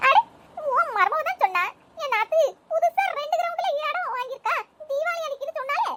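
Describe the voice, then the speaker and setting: A cartoonish character voice with very wide pitch swings at a moderate pace. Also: woman, extremely high pitch for a woman. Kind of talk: comic village gossip. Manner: gossipy, meddling, scolding.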